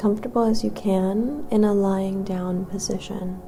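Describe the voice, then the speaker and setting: Against music in the background, a woman speaks at a fairly slow pace in a soothing, calm tone. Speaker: meditation guide. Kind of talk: yoga nidra guided meditation. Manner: soothing, slow, calm.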